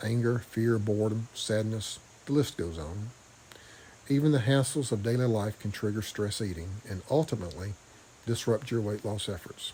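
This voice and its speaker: A man talks with a strong Southern US accent at a moderate pace. His pitch is fairly low, with ordinary pitch variation. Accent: deep Southern. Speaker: vlogger. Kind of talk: video diary. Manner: stumbling on words.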